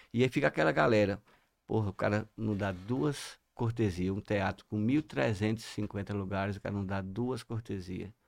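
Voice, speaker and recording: On a very clean recording with a silent background and a dry, close sound with no echo, a man with an unremarkable speaking voice talks at a fairly slow pace in a fairly low pitch with ordinary pitch variation. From Sergipe, Brazil (Ribeirópolis). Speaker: lawyer and celebrity bodyguard. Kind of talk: casual chat.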